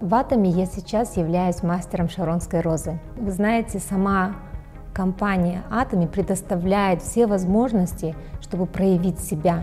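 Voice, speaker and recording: Faint music plays behind a woman who speaks at a fairly slow pace with fairly even intonation. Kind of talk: interview answer. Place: studio. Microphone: lapel.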